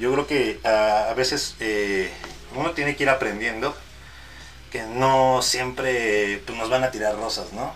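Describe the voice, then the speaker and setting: A man with a medium pitch and ordinary pitch variation speaks fairly slowly against noticeable background noise. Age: 30s. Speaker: mariachi musician and content creator. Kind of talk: casual interview chat.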